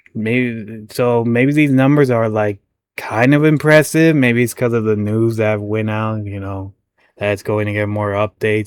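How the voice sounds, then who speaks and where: On a very clean recording with a silent background, a man with a normal speaking voice talks at a fairly slow pace with ordinary pitch variation. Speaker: gaming commentator. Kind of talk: reaction commentary. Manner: casual, stumbling over words.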